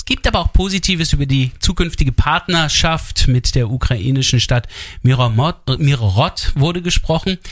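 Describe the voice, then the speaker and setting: A man with a fairly high pitch sounds somewhat breathy. His intonation stays lively throughout. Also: moderate pace. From Germany, half east half west. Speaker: radio host. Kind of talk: radio interview.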